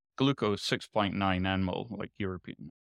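In dry, close sound with no echo, a man with a plain, everyday voice speaks at a moderate pace and a fairly low pitch. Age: 40s. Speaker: longevity and biomarker industry expert. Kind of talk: interview about personal story.

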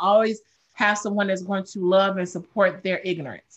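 With an American accent and a normal speaking voice, a woman talks at a medium pitch with ordinary pitch variation. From Chicago. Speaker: craft beer advocate and influencer. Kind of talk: casual chat.

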